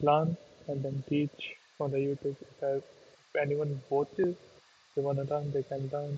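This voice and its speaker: A man is speaking. His pitch sits fairly high for a man. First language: not English. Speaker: YouTuber learning to code. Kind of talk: casual live stream talk. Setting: live stream on laptop. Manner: halting.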